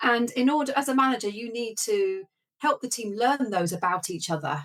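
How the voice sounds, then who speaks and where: A woman's high-pitched voice at a fairly quick pace, with very wide pitch swings. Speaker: medtech business leader. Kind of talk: interview. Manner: calm.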